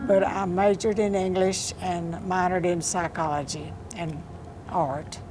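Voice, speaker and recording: With a Texan accent, a woman speaks fairly slowly at medium pitch with fairly even intonation, amid noticeable background noise and audible room echo. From Texas, Johnson County (Rio Vista). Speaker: poet. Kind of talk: interview.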